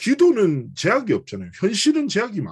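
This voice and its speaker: With a strong Busan accent, a man speaks in a somewhat breathy voice with very wide pitch swings. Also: quiet background. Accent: Busan dialect, strong (by his own account). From South Korea, Busan. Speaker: pastor. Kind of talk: sermon. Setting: church cell-group worship.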